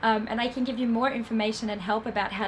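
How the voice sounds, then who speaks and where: A woman with an Australian accent speaks at a fairly high pitch, with audible room echo and noticeable background noise. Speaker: film festival industry program manager. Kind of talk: lecture. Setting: stage with audience.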